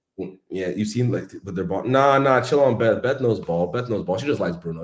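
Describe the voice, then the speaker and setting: Very fast and with hardly any pauses, a man with an American accent talks in a fairly low, animated voice, his intonation lively and his loudness swinging widely. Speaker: football fan channel host. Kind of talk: casual chat. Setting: live stream.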